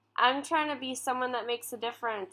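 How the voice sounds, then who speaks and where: High pitch from a woman speaker. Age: 20s. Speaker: comedian and video streamer; comedian, video streamer. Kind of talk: casual chat. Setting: call. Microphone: webcam.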